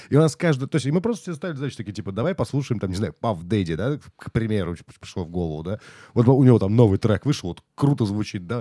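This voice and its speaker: A man with a dark, mellow tone races along at a very fast pace, his pitch swinging very widely in a dry, close sound with no echo. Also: medium pitch for a man, very clean recording, silent background. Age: 30s. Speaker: podcast host. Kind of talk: casual chat.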